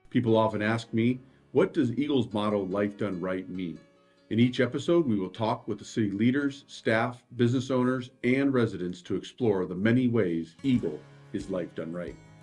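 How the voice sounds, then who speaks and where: Here a man talks at a medium pitch. Music plays in the background. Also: ordinary pitch variation, moderate pace. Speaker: city mayor. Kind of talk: podcast host introduction.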